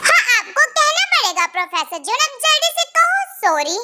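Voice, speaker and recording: In a put-on character voice, a female-sounding speaker squeaks at an extremely high pitch with very wide pitch swings. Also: moderate pace. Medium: read story. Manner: sassy, bold.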